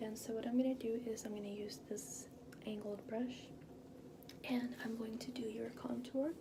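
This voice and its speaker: A woman speaks in a calm tone with monotone, flat intonation over noticeable background noise. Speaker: ASMR artist doing a makeup artist roleplay; makeup tutorial host. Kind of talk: makeup artist roleplay narration to the viewer. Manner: soft, calm, slow. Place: bathroom. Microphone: phone near.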